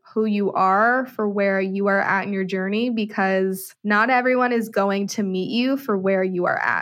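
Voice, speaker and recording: A woman speaks in an unremarkable speaking voice at a medium pitch and a fairly slow pace, with hardly any pauses. Her intonation is fairly even, her loudness very even, and the background quiet. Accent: American. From US West Coast, San Francisco Bay Area. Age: 20s. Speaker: human design coach. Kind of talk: interview.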